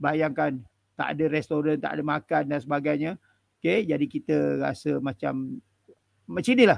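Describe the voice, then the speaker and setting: With lively intonation, a man speaks at a moderate pace with long, frequent pauses, in a dry sound with no echo and a quiet background. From Malaysia. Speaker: lecturer and charity volunteer; guest. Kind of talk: travel storytelling in interview. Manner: hesitant, with many fillers. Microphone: headset.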